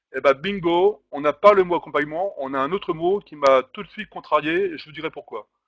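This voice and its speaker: Against a quiet background, a man talks at a fairly quick pace with hardly any pauses, a high pitch, ordinary pitch variation and big swings in loudness, the sound dry and close with no echo. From France, Normandy. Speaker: distance learning trainer. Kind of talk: webinar presentation. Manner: fast.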